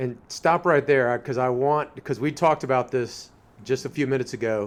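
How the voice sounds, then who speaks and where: With a normal speaking voice, a man talks at a medium pitch with fairly even intonation. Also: fairly quick pace. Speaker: podcast host. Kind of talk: interview question, casual conversation.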